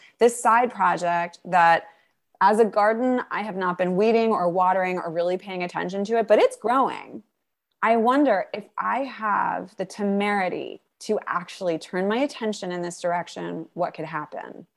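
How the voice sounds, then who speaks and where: A woman with an American accent has a plain, everyday voice at a medium pitch with ordinary pitch variation. She talks at a moderate pace on a very clean recording with a silent background. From New York. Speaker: journaling coach. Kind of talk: interview.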